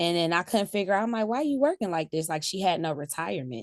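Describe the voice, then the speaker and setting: A woman with an American accent speaks in an ordinary speaking voice at a fairly low pitch, with ordinary pitch variation. The background is quiet. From US Midwest, greater Cleveland, Ohio. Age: 40s. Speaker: salon owner. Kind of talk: interview.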